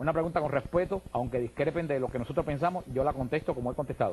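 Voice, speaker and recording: Speaking at a very fast pace, a man with a Cuban accent has a fairly high pitch and ordinary pitch variation. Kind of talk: radio/TV call-in interview.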